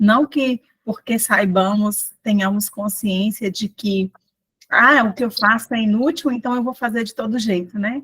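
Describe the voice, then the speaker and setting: Fairly slow delivery with ordinary pitch variation, in a dry, close sound with no echo. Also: woman, fairly high pitch for a woman. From Brazil, northeast Minas Gerais near Bahia border. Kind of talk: testimony.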